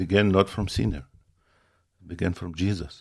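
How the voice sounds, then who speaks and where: A man speaks at a very deep, low pitch in a strong Ukrainian accent. The recording is very clean, with a silent background. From Ukraine. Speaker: apostle, church leader. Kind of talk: interview, preaching-style talk. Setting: visiting in person in Montana. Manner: halting, broken grammar, earnest.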